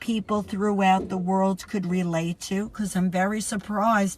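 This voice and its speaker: The voice is somewhat breathy, with a New York accent. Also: woman. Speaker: podcast host. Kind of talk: educational podcast monologue.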